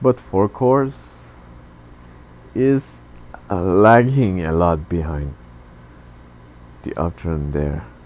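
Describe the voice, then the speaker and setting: A man's very deep, low voice swinging very widely in pitch, at a very slow pace with long, frequent pauses. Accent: non-native. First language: not English. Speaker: tech YouTuber. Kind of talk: tutorial. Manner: halting.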